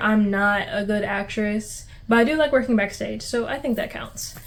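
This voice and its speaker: Using a normal speaking voice, a woman talks with fairly even intonation in a fairly high pitch at a moderate pace. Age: 20s. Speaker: vlogger. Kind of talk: casual chat. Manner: casual, filler-heavy.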